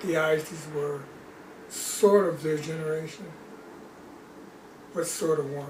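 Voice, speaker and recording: A man's voice at a fairly slow pace, fairly even in intonation, with long, frequent pauses, audible room echo and noticeable background noise. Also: fairly high pitch for a man. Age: 70s. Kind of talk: casual chat.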